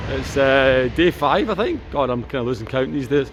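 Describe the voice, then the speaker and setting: A man speaks with a Scottish accent at a moderate pace. His pitch varies in an ordinary way, with noticeable background noise behind him. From Scotland. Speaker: vlogger. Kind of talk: vlog narration. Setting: outdoors. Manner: animated.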